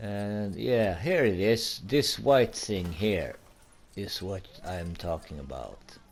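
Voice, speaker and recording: Using lively intonation, a man with a Swedish accent talks at a very slow pace. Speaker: gaming YouTuber. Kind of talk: gameplay commentary. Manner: halting.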